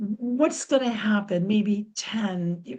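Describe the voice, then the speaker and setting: Somewhat breathy with a dark, mellow tone, the voice moves at a fairly slow pace. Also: woman. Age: 70s. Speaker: audience member asking a question. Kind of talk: audience Q&A question. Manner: halting.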